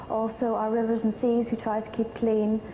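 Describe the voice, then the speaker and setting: A woman with an Irish accent speaks at a moderate pace and a fairly high pitch. Her intonation is monotone and flat, with noticeable background noise behind her. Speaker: beauty pageant contestant. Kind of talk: interview. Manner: halting.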